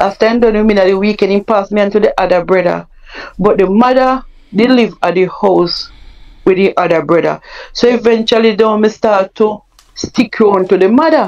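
A woman with a Jamaican accent, medium-pitched, fairly quick, with ordinary pitch variation and very even loudness. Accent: Jamaican, Patois-inflected. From Jamaica (Mandeville). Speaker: guest sharing life story. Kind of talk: personal testimony.

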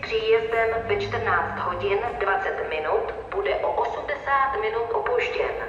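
A woman speaks at a very slow pace. Audible room echo and light background noise surround her voice. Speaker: announcer voice for station information system. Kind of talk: train station announcement.

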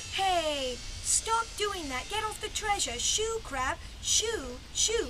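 A cartoonish character voice, female-sounding, at an extremely high pitch. It moves at a very slow pace over loud background noise. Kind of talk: improvised puppet show.

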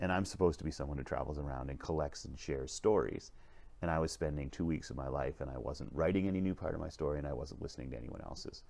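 A man's very deep, low pitch with vocal fry, a dark, mellow tone and a very fast pace. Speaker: leadership vlogger. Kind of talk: casual vlog storytelling. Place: train.

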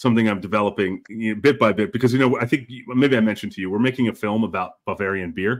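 A man with an American accent, fairly low in pitch, with ordinary pitch variation against a quiet background. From Pennsylvania, US. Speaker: whisky show host, filmmaker; whisky show host. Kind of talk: casual chat, live stream interview. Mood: friendly, relaxed storytelling. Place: home room. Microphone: video call.

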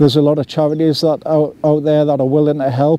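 The sound is dry with no echo, and there is light background noise. A man talks at a fairly quick pace. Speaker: vlogger. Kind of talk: personal talk to camera about mental health. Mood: serious, heartfelt. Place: forest.

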